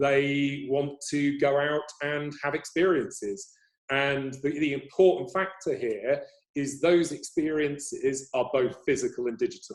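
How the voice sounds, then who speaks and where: Fairly slow talk from a man with an English accent. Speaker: agency CEO. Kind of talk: interview.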